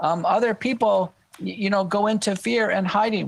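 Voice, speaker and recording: An American accent at a moderate pace, with ordinary pitch variation. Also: man. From Texas. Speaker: medical doctor, expert witness. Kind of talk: podcast interview. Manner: halting.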